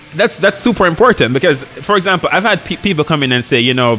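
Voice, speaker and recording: With music in the background, a man speaks at a very fast pace using lively intonation. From rural Jamaica. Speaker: hospital resident doctor, jiu-jitsu practitioner. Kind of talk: casual podcast chat. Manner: halting, many self-restarts.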